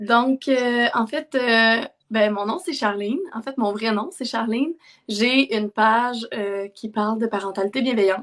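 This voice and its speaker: A woman's fairly high voice in a strong Quebec accent, fairly slow in pace, with ordinary pitch variation. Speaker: parenting content creator. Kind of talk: live stream interview chat. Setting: online live stream.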